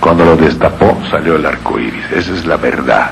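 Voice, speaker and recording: A man speaks with noticeable background noise and audible echo in the room. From Yucatán, Mexico. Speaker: speaker on regional speech. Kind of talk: lecture.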